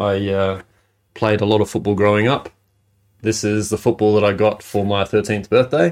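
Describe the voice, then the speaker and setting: A man with an Australian accent talks at a moderate pace, his pitch fairly low and his intonation fairly even. The recording is very clean, with a silent background. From Adelaide, South Australia. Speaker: former junior footballer. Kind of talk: interview.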